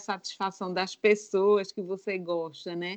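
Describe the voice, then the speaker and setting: With an unremarkable speaking voice, a woman of medium pitch speaks at a fairly slow pace. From Brazil, Northeast (Alagoas). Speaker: former lawyer turned baker. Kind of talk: testimony.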